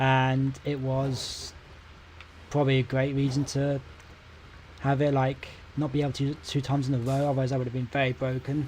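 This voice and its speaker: A man with a British accent, medium pitch, monotone, flat intonation and a fairly quick pace broken by long, frequent pauses. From Britain. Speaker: gaming streamer. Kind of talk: casual live-stream commentary. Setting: live stream.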